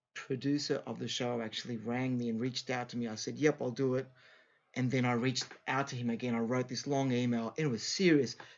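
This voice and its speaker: A man with an Australian accent, medium in pitch, at a fairly quick pace with fairly even intonation. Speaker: singer. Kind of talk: interview. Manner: halting.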